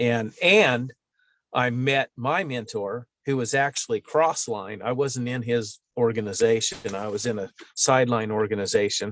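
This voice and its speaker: This man has a plain, everyday voice at medium pitch. He talks at a fairly slow pace with ordinary pitch variation. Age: 50s. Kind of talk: interview answer. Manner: casual, conversational.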